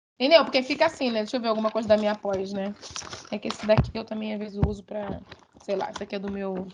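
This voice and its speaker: Delivered at a very fast pace, the speech shows ordinary pitch variation and big swings in loudness over noticeable background noise. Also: woman, fairly high pitch for a woman. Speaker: university lecturer. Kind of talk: online lecture. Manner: animated.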